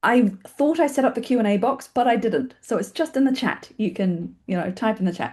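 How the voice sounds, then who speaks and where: A woman with a New Zealand accent speaks in a fairly high pitch, her tone dark and mellow. Her pitch varies in an ordinary way against a quiet background. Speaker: filmmaking organisation founder and webinar host. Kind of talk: webinar introduction. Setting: video call webinar. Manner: fast; casual, with fillers.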